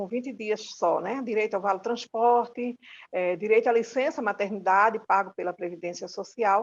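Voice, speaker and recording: Ordinary pitch variation at a moderate pace. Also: woman. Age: 60s. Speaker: domestic workers' union leader. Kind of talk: recorded course talk. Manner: halting.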